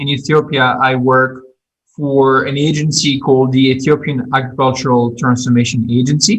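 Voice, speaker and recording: In a strong Belgian French accent, a man talks at a medium pitch and a moderate pace. His intonation is flat and monotone, and his voice is somewhat breathy. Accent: strong French-speaking Belgian. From Belgium. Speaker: agribusiness consultant. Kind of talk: podcast interview.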